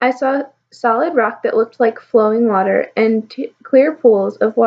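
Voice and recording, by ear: In a natural voice with ordinary pitch variation, someone reads aloud against a quiet background.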